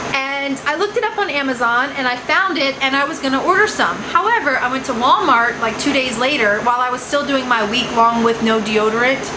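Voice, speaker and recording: A raised, projected voice with lively intonation at a fairly quick pace and hardly any pauses, amid noticeable background noise and audible room echo. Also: woman, high pitch for a woman. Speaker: beauty and lifestyle vlogger. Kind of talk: casual vlog monologue. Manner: fast; animated.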